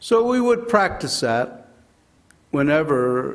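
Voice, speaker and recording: In an American accent, a man talks at a fairly slow pace with lively intonation, and audible room echo surrounds his voice. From Arizona (Kingman). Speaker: public commenter at hearing. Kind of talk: public testimony. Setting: public hearing.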